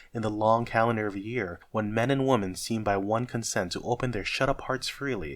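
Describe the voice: Here someone simply reads aloud in a plain way.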